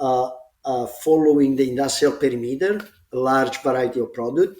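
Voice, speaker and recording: A man speaks in an Italian accent with ordinary pitch variation. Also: medium pitch for a man, moderate pace. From Italy, grew up in Rome. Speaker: smart building executive. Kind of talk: casual podcast interview. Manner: halting, many fillers.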